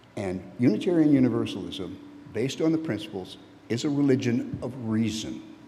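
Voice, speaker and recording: Someone speaks with an American accent, fairly quickly and with lively intonation. Noticeable background noise and audible room echo are present. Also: man, medium pitch for a man. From Texas. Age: 70s. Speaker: lay preacher, church member. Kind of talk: sermon. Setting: church. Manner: conversational, halting.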